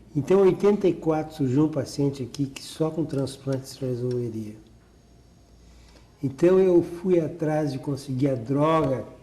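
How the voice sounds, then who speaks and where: Somewhat breathy and dark, mellow in tone, a man speaks at a fairly slow pace with a fairly high pitch and ordinary pitch variation. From Porto Alegre, Rio Grande do Sul, Brazil. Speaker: cardiac surgeon. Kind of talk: oral history interview answer.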